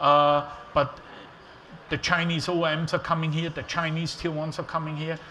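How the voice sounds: The tone is bright and sharp, with little pitch movement. The pace is moderate. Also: man, fairly high pitch for a man.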